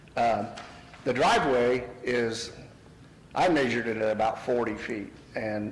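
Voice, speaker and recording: With an American accent, a man speaks at a fairly slow pace and medium pitch with fairly even intonation and long, frequent pauses, amid audible room echo and noticeable background noise. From Indiana (Yorktown). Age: 60s. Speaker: homeowner applicant at zoning hearing. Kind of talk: public testimony at town meeting. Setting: meeting room at podium. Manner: casual with many fillers.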